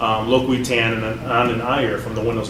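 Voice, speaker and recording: Amid noticeable background noise and audible room echo, a man speaks in a medium pitch with monotone, flat intonation. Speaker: developer evangelist and podcast host. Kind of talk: casual interview conversation. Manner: fast; hesitant, many fillers and repeats.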